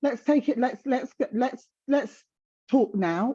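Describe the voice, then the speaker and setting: A woman with a South London accent at a fairly slow pace. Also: quiet background. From South London, England. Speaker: menopause guest speaker. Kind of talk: casual chat.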